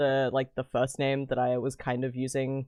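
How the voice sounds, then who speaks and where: On a very clean recording with a silent background, a man with an Australian accent sounds dry and close, with no echo. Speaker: streamer. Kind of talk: casual chat.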